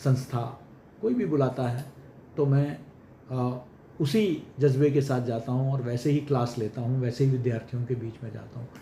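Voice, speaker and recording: With fairly even intonation, this somewhat breathy voice has a dark, mellow tone. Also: man, medium pitch for a man. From Kerala, India. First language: Malayalam (speaking Hindi). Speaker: senior journalist and media educator. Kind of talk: interview. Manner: formal.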